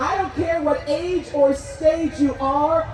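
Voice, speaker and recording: A woman's high voice with an American accent at a fairly slow pace, ordinary pitch variation, audible room echo and noticeable background noise. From New Jersey. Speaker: rally emcee and motivational speaker. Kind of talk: rally speech to a crowd. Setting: outdoor rally with audience. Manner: animated.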